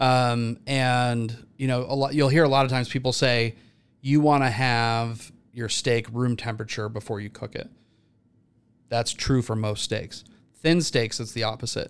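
With a plain, everyday voice and fairly even intonation, a man speaks at a moderate pace in a very clean recording with a silent background. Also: medium pitch for a man. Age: 40s. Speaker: TV grilling chef. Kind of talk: casual chat.

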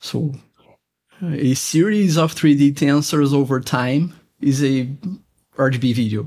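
With a Portuguese accent, a man speaks at a fairly slow pace in a dark, mellow tone of fairly high pitch, leaving long, frequent pauses. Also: ordinary pitch variation. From Brazil. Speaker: electronics engineer, software developer. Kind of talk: technical interview. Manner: halting.

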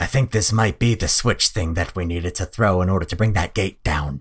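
Putting on a character voice, a man speaks very deep and low at a fairly quick pace in a very clean recording with a silent background. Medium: actual play. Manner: upbeat, earnest, preachy.

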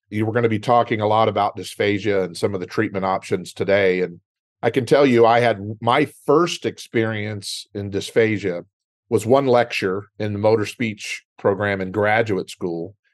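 With a Texan accent, a man talks at a moderate pace and a fairly low pitch. His pitch varies an ordinary amount over a quiet background. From West Texas. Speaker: speech-language pathologist. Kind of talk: educational interview. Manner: conversational.

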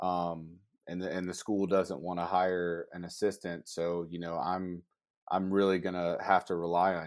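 A man with a very deep, low voice and an American accent speaks at a fairly slow pace in a flat monotone, recorded very cleanly against a silent background. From Georgia, US South. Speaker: college sports information director. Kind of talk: casual interview.

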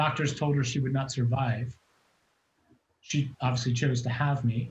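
A man is talking. There is some breathiness to his voice. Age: 50s. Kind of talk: testimony.

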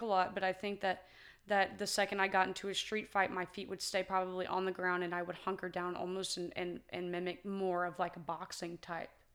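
On a very clean recording with a silent background, a woman with an American accent speaks fairly quickly at medium pitch in an ordinary speaking voice. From US small town. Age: 20s. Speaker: martial artist. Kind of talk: casual interview.

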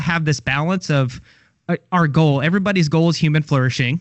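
Here a man talks at a fairly quick pace. His voice is fairly high in pitch and somewhat breathy. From Kentucky, Louisville. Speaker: digital marketing executive. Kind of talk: casual chat.

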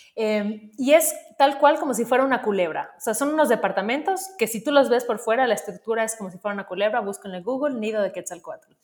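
A woman talks at a very fast pace with hardly any pauses, her fairly high voice showing lively intonation. Her loudness swings widely, and there is noticeable background noise. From Mexico, Yucatán (Mérida). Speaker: creative, diversity advocate. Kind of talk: casual chat.

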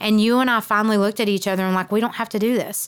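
In a Southern US accent, a woman speaks at a fairly high pitch with fairly even intonation. The recording is very clean, with a silent background. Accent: Southern American. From South Georgia, US South. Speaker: real estate investor and podcast co-host, former teacher. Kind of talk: casual chat.

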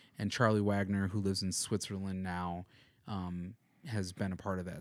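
With an American accent, a man uses a normal speaking voice at a fairly low pitch in a very clean recording with a silent background. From US Midwest (Madison, Wisconsin). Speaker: musician and music producer. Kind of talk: casual interview chat.

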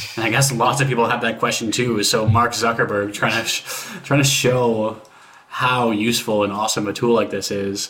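A man talks in a monotone, flat intonation as noticeable background noise continues. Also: medium pitch for a man, moderate pace. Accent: Canadian. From Canada. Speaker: podcast host. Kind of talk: casual chat.

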